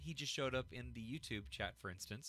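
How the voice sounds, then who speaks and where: In a bright, sharp tone, a man talks at a fairly quick pace, the sound dry and close with no echo. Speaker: podcast host. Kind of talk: live-streamed podcast chat. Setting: live stream. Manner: halting.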